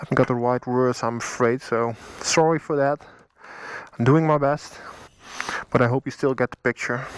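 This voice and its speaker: A man at medium pitch with a Dutch accent, moderate in pace with long, frequent pauses and fairly even intonation, in a dry, close sound with no echo. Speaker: motorcycle vlogger. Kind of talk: tutorial. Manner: halting.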